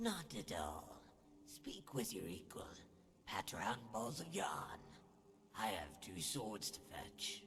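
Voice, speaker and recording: A man does a put-on character voice at a medium pitch, with very wide pitch swings, a fairly slow pace and long, frequent pauses. Clear background noise is present. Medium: machinima. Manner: haughty, condescending.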